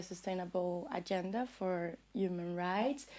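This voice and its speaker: With a Brazilian Portuguese accent, the speaker talks at a fairly slow pace with fairly even intonation. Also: woman. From Brazil, São Paulo favela. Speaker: music journalist. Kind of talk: interview.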